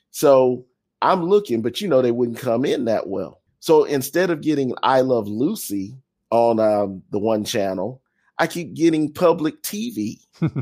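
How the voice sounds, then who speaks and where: A man's dark, mellow voice with very wide pitch swings, at a fairly slow pace. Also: medium pitch for a man. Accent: American. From US South. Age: 50s. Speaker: podcast co-host and fan. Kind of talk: casual chat.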